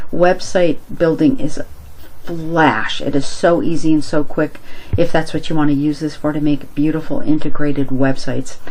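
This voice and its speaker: Moderate pace and fairly even intonation, with noticeable background noise. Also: woman, very deep, low pitch for a woman. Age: 60s. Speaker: product reviewer. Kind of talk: screen-share product review. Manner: casual, conversational.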